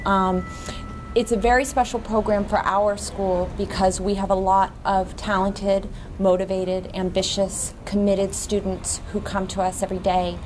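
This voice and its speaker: Over noticeable background noise, a woman talks at a medium pitch with a monotone, flat intonation. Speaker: program coordinator. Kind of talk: ceremony speech. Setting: ceremony room with microphone. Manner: hesitant with frequent ums.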